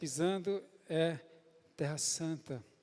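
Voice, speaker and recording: High pitch for a man, with ordinary pitch variation, from a male speaker. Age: 60s. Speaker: pastor. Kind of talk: sermon. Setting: church.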